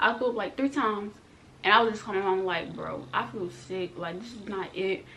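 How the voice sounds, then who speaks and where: A woman at a fairly quick pace, ordinary pitch variation, audible room echo around her. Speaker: vlogger. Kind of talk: storytime vlog. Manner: fast; animated.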